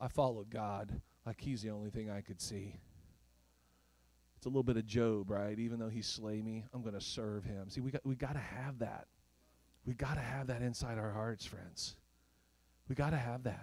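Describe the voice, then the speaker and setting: With a slight Oklahoma accent, a man talks at a medium pitch. He keeps a moderate pace, broken by long, frequent pauses. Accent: slight Southern twang picked up in Oklahoma. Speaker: preacher. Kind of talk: sermon. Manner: animated.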